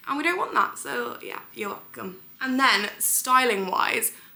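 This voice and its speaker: A woman with a British accent, with audible room echo and noticeable background noise. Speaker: beauty and lifestyle vlogger, model. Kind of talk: beauty tutorial vlog. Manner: fast; chatty, casual.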